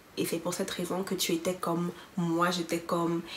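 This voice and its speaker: An animated voice speaks at a fairly quick pace over noticeable background noise. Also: woman. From Cameroon. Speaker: YouTuber. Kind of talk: testimony.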